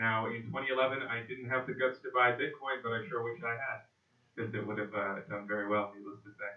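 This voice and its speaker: A man uses a normal speaking voice at medium pitch. He goes at a fairly quick pace with fairly even intonation. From Canada, Vancouver. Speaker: conference speaker on blockchain. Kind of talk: conference talk.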